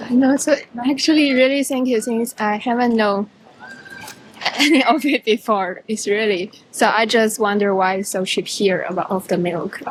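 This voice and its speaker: A fairly high-pitched woman with a Chinese accent and ordinary pitch variation, over noticeable background noise. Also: moderate pace. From China. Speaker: international student. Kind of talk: casual street conversation. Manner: halting.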